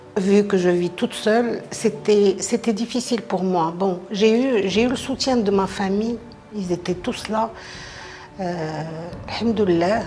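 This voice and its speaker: Music plays in the background as a woman speaks at a very slow pace and medium pitch with ordinary pitch variation. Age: 60s. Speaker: breast cancer patient. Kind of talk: personal testimony.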